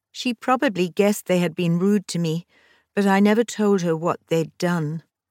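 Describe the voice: In this clip someone does plain reading aloud while the background stays quiet.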